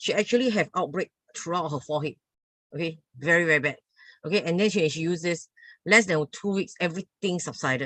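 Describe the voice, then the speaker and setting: At a very fast pace yet with long, frequent pauses, a woman speaks at a fairly low pitch with ordinary pitch variation in a dry, close sound with no echo. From Singapore. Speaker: MLM seller. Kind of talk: sales pitch. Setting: video call.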